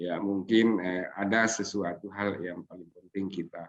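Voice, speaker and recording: His voice sits very deep and low. This man keeps his intonation fairly even. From Sulawesi, Indonesia. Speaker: Islamic scholar and seminar speaker. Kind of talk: seminar talk. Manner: halting, many fillers.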